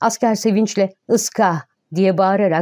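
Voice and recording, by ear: The background is silent apart from the speaker. A natural voice reads aloud.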